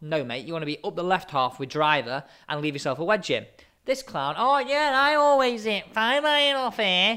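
A man with an English accent speaks at a moderate pace in a raised, projected, high voice with very wide pitch swings. The recording is very clean, with a silent background. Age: 20s. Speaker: podcast host. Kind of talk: casual chat.

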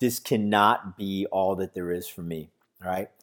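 A man talks at a moderate pace with an animated, upbeat tone. The recording is very clean, with a silent background. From Texas, San Antonio. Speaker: motivational podcast host. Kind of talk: motivational podcast monologue. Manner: animated, upbeat with frequent laughs.

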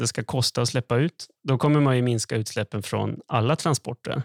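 A plain, everyday voice moves at a fairly quick pace with ordinary pitch variation. The recording is very clean with a silent background and a dry, close sound with no echo. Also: man. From northern Sweden, Skellefteå. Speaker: economist podcast co-host. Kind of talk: casual explanatory chat.

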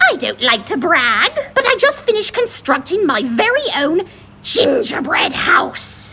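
Over clear background noise, a female-sounding voice performs a put-on character voice at an extremely high pitch with very wide pitch swings and a fairly slow pace. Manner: grandiose, theatrical.

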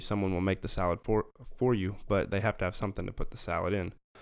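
A man with a Southern US accent and fairly low pitch, on a very clean recording with a silent background. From US South, Memphis and central Arkansas. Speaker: physics graduate and Marine veteran. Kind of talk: casual chat.

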